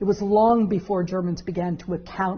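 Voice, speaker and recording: Using an ordinary speaking voice, a woman talks at a moderate pace with a fairly low pitch and fairly even intonation. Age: 60s. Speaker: law professor. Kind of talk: interview.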